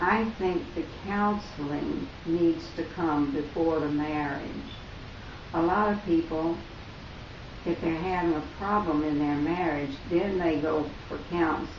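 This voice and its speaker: A woman with a Southern US accent speaks at a fairly slow pace in a fairly low pitch, with fairly even intonation and long, frequent pauses, over noticeable background noise and audible room echo. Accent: Southern American. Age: 80s+. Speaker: interviewee, grandmother. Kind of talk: interview.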